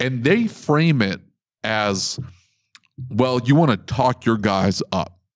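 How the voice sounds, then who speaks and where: A man with a medium pitch speaks at a very slow pace. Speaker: podcast host. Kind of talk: casual chat. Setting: trade show event. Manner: sarcastic, joking.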